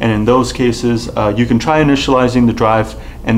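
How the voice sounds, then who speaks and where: A man talks at a moderate pace as light background noise runs underneath. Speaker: presenter. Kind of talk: tutorial. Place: studio.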